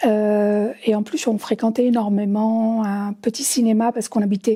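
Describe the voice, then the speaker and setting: The voice is somewhat breathy and dark and mellow in tone, moving at a fairly slow pace. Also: woman. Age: 60s. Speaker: visually impaired film viewer. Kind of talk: testimony. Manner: halting.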